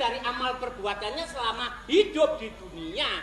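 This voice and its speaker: Spoken in an East Javanese accent at a moderate pace, the clip has noticeable background noise. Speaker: comedian. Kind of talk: comedy sketch dialogue.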